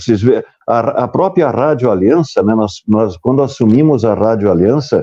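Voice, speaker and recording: A man is speaking. His pace is moderate. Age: 60s. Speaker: former radio broadcaster, news site owner. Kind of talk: casual chat. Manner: halting.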